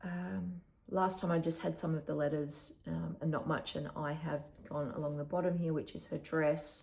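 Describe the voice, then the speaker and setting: A woman with an Australian accent talks at a moderate pace in a very deep, low, somewhat breathy voice with ordinary pitch variation. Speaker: cross-stitch vlogger. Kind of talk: casual chat. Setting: home recording, early morning. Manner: casual with fillers.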